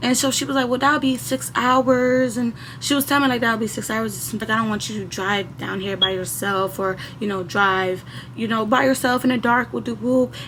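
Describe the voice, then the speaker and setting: A woman's fairly high-pitched voice comes through with noticeable noise in the background. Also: lively intonation, moderate pace. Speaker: storytime youtuber. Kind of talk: casual storytime monologue. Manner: animated.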